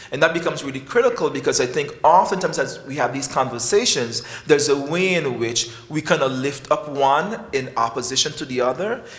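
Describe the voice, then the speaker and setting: Fairly high male voice with a West Indian accent, lively intonation and hardly any pauses, plus audible room echo and noticeable background noise. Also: fairly quick pace. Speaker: professor of psychiatry. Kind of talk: conference speech.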